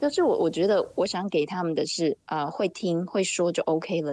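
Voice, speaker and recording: A woman with a Taiwanese accent speaks at a fairly low pitch in a dry, close sound with no echo and a quiet background. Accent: Taiwanese Mandarin. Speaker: mother living abroad. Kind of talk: casual chat.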